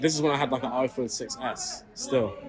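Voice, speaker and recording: Against noticeable background noise, a man of medium pitch talks at a fairly quick pace. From UK. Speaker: rapper. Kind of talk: interview. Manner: casual, filler-heavy speech.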